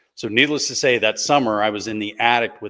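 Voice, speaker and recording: At a fairly quick pace, a man with an American accent speaks at a fairly low pitch on a very clean recording with a silent background. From US South, Gulf Coast of Mississippi. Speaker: patent attorney. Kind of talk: interview storytelling.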